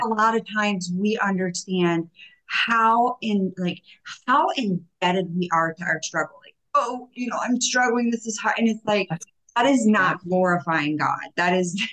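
A woman speaks with lively intonation at a medium pitch. Hers is a plain, everyday voice. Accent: American. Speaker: podcast host and coach. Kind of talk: podcast interview.

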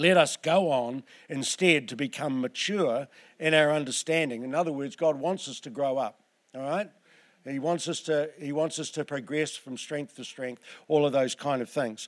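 In a Southland accent, a man talks at a moderate pace with ordinary pitch variation and big swings in loudness, on a very clean recording with a silent background. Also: fairly high pitch for a man. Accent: New Zealand, Southland. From New Zealand, Southland. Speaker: preacher. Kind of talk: sermon. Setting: church.

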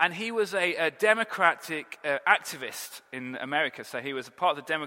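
A man with an English accent speaks at a fairly high pitch. His tone is bright and sharp, and his intonation lively. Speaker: pastor. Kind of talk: sermon. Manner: animated.

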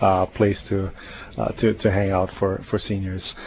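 Over noticeable background noise, a man speaks at a fairly low pitch in a flat, monotone way. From Hawaii, Big Island (South Kona). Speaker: nonprofit executive director. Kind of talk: radio interview. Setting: studio. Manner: halting, many fillers.

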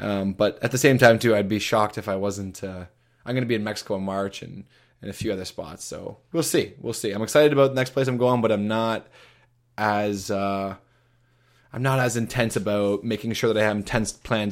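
Fairly quick and fairly low-pitched, a man talks with a Canadian accent. His intonation is fairly even, on a very clean recording with a silent background. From Canada, Toronto. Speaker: long-term traveler. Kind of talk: casual interview chat. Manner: halting, many fillers and repetitions.

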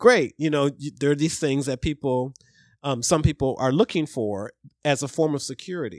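With a plain, everyday voice, a man speaks at a moderate pace and a fairly high pitch with ordinary pitch variation, in a dry, close sound with no echo on a very clean recording with a silent background. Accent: American. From Ohio, US Midwest. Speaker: podcast guest. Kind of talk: casual chat.

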